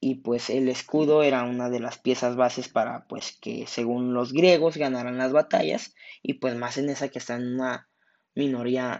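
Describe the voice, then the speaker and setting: The speaker has a Mexican accent. The pace is moderate. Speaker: podcast host. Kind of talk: casual storytelling monologue. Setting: at home during quarantine.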